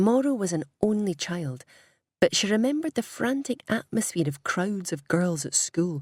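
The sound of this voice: Against a quiet background, the speaker uses an unforced reading voice with lively intonation.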